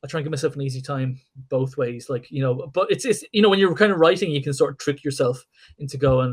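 A man with an Irish accent, fairly high-pitched and somewhat breathy, at a very fast pace with ordinary pitch variation. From Ireland. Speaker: comic book artist and writer. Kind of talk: casual interview.

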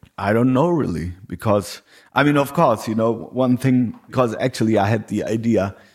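A man with a normal speaking voice, fairly low in pitch, with ordinary pitch variation. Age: 40s. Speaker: podcast host and musician. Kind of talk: casual chat. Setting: home.

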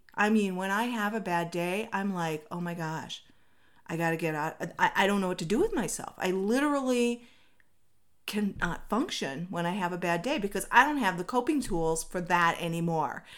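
An animated voice with an American accent, lively intonation and a moderate pace. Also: woman, medium pitch for a woman. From Minnesota. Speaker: inspirational podcast host. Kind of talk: motivational monologue.

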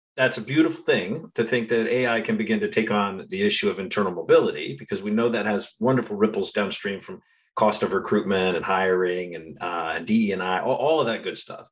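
Over a quiet background, a man in a normal speaking voice with medium pitch talks at a fairly quick pace with lively intonation and hardly any pauses. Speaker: podcast host. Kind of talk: interview.

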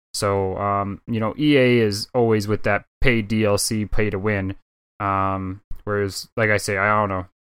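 Delivered at a fairly slow pace in a flat monotone, the recording is very clean with a silent background. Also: man, fairly low pitch for a man. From Canada. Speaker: gaming podcast co-host. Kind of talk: casual chat.

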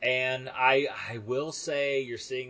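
A man in an American accent speaks at a medium pitch while noticeable background noise runs underneath. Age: 40s. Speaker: podcast host. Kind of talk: casual chat.

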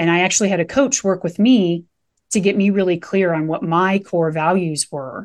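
With an American accent, the speaker uses an ordinary speaking voice at a moderate pace and ordinary pitch variation over a quiet background. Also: woman, medium pitch for a woman. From Nebraska. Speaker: mindfulness coach and meditation teacher. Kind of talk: podcast interview.

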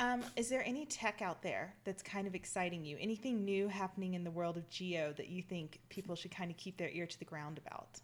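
A woman with a Southern US accent speaks at a fairly quick pace. Her pitch is medium with ordinary variation. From US South. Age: 30s. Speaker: podcast host and reservoir engineer. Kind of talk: casual interview. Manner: animated.

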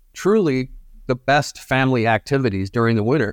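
A man with an American accent and a plain, everyday voice, medium in pitch, at a moderate pace, in a very clean recording with a silent background and a dry, close sound with no echo. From northern Michigan, US. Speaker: tourism media director. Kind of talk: casual interview.

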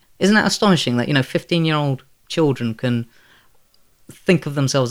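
A man's voice shows ordinary pitch variation in a very clean recording with a silent background. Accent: London. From London, Elephant and Castle. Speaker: author and physics teacher. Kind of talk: interview. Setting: at his home.

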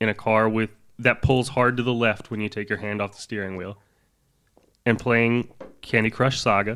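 A man with an American accent speaks in a bright, sharp tone and a flat monotone with long, frequent pauses, on a very clean recording with a silent background. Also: medium pitch for a man, moderate pace. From US South. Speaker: podcast co-host. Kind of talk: casual chat.

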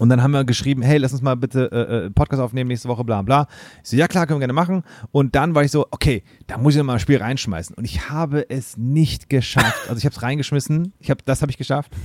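At a very fast pace, a man talks in a dry, close sound with no echo. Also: medium pitch for a man, ordinary pitch variation. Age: 30s. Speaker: drummer and podcaster. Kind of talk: casual chat. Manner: animated.

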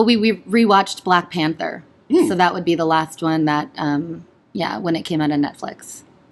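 Lively intonation marks a woman's delivery at a moderate pace in an unremarkable speaking voice. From Canada, Ontario (partly raised in Pennsylvania). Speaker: stage performer. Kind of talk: casual chat.

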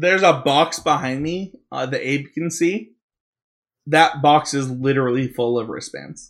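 Very clean recording with a silent background of a man in a Utah accent, fairly high-pitched for a man, with ordinary pitch variation and a fairly slow pace. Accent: Utah American. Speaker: podcast host. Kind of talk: casual chat.

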